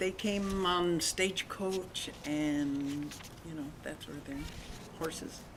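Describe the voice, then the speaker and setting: A woman with a Spanish accent at a very slow pace, with fairly even intonation and big swings in loudness, amid noticeable background noise and audible room echo. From Long Beach, California. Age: 80s+. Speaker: grandmother interviewed by grandson. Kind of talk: family interview.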